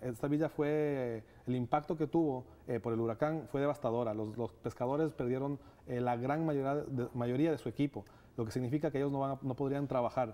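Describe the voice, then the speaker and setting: A man's dark, mellow voice at a fairly quick pace, with fairly even intonation. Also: medium pitch for a man. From Ecuador. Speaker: nonprofit director. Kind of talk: TV interview. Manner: hesitant, many fillers. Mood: earnest, thoughtful. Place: studio. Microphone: lapel.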